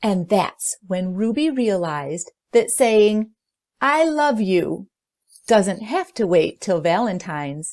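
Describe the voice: Lively intonation and plain reading aloud, the background quiet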